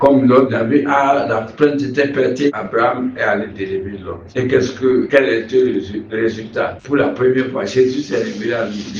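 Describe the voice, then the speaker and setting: The man speaks at a fairly slow pace. His voice carries audible room echo and noticeable background noise. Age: 70s. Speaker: pastor. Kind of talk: sermon-style advice in an interview. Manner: halting, repeats words.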